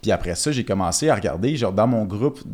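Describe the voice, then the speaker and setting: In a very clean recording with a silent background, a man speaks at a very fast pace with ordinary pitch variation. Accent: Quebec. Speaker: crypto entrepreneur. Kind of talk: casual chat.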